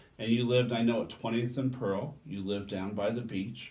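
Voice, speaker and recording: Somewhat breathy, at a medium tempo, with ordinary pitch movement. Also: man. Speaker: TV host interviewer. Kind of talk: interview questions, casual conversational.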